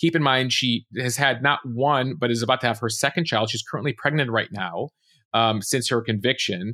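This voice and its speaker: Recorded very cleanly against a silent background, the voice has a bright, sharp tone and a dry, close sound with no echo, moving at a moderate pace with ordinary pitch variation. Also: man. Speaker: news podcast host. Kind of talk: casual news rundown. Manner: loud.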